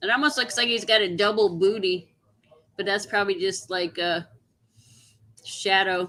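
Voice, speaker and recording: A loud woman at a moderate pace, her tone bright and sharp, her pitch medium with ordinary variation, and her pauses long and frequent. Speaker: coin collecting livestream host. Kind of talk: casual livestream chat. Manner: gets very loud when excited.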